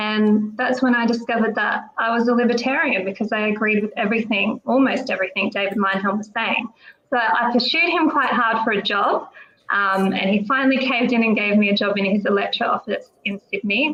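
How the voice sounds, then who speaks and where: A woman's fairly high-pitched voice with an Australian accent, ordinary pitch variation and a fairly quick pace. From South Australia, regional area. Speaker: political candidate. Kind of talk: podcast interview. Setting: live online show.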